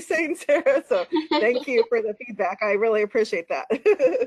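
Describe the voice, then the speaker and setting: In a normal speaking voice, a woman talks at a moderate pace with lively intonation. The background is quiet. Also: dry, close sound with no echo. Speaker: dietitian presenter. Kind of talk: casual thanks at webinar end. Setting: webinar.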